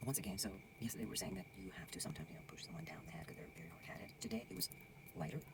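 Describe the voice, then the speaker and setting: Someone whispers at a very fast pace. Noticeable background noise runs underneath. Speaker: tarot reader. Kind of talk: tarot reading monologue. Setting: lodge at night, dark room. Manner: whispered, soft; casual, conversational.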